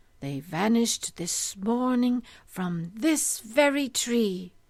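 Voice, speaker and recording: Putting on a character voice, a woman speaks very slowly at a fairly high pitch. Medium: read story.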